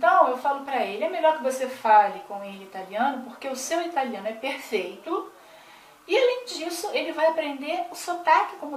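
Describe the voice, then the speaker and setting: A woman with a Brazilian accent speaks at a high pitch and a moderate pace, her pitch swinging very widely and her loudness rising and falling a lot. Noticeable background noise and audible room echo are present. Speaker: vlogger. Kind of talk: casual vlog talk to camera.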